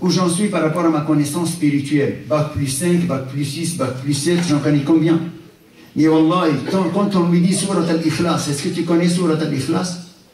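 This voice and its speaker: The speech comes at a fairly slow pace with ordinary pitch variation, with audible room echo and noticeable background noise. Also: man. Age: 60s. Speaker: Islamic lecturer. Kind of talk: religious lecture. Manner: animated.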